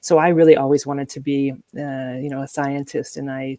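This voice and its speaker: A woman with an American accent speaks at a very deep, low pitch in a dark, mellow tone with fairly even intonation. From US, New Mexico. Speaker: corporate executive and nonprofit board member. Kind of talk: interview. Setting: live video stream. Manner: halting, many fillers.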